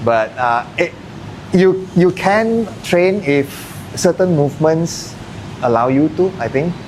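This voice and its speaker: At a very slow pace with long, frequent pauses, a man with a Malaysian accent talks at a high pitch with lively intonation over noticeable background noise. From Malaysia, Kedah. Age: 40s. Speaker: martial arts gym owner. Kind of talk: casual podcast interview.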